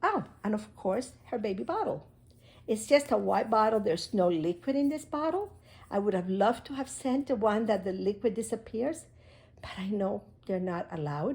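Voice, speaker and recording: A woman's somewhat breathy voice with lively intonation at a moderate pace, on a very clean recording with a silent background. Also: fairly high pitch for a woman. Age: 70s. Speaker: crafts hobby video maker. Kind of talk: unboxing tutorial. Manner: halting.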